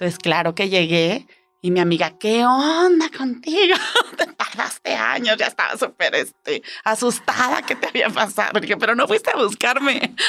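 Over music in the background, a woman with a fairly high pitch speaks at a moderate pace, her pitch swinging very widely while her loudness stays very even. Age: 40s. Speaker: human resources worker. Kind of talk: storytelling interview.

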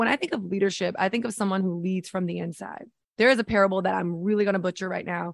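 Dry and close with no echo, a woman's medium-pitched voice in an American accent holds a fairly even intonation. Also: quiet background. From New York City. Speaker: fitness instructor and motivational speaker. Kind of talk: interview conversation.

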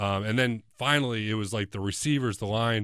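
A man with an ordinary speaking voice and medium pitch talks at a moderate pace with fairly even intonation in a very clean recording with a silent background and a dry, close sound with no echo. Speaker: former college quarterback, co-host. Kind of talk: casual sports podcast discussion.

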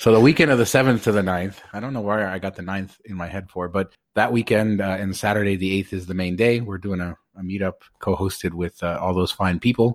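Very clean recording, silent background: a man with a normal speaking voice talks fairly quickly. His pitch is fairly low and his intonation fairly even. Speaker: podcast host. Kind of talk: casual chat.

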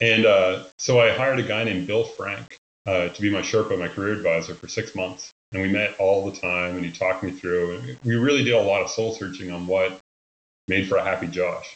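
The speech comes at a fairly quick pace, with ordinary pitch variation. It's a plain, everyday voice. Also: man, fairly low pitch for a man. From Nova Scotia, Canada. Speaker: consultant and geophysicist. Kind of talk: casual interview chat. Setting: podcast recording.

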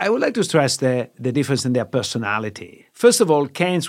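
A man with an Italian accent. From Italy. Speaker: finance professor. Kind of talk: casual explanatory discussion.

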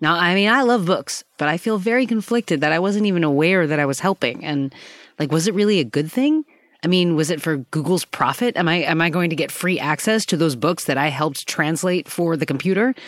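In a normal speaking voice, a woman talks at a fairly quick pace and fairly low pitch with very even loudness, in a dry, close sound with no echo. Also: very clean recording, silent background. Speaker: podcast producer. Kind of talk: casual reflection.

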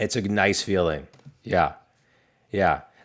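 The recording is very clean, with a silent background. The speaker uses a normal speaking voice at a moderate pace. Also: man. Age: 40s. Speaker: business coach and podcast host. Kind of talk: casual interview.

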